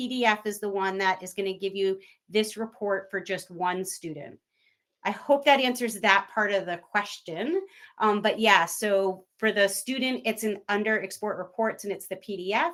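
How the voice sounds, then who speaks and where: In a plain, everyday voice, a woman speaks at a moderate pace with a medium pitch and ordinary pitch variation. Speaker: webinar presenter for an education platform. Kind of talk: live webinar tutorial.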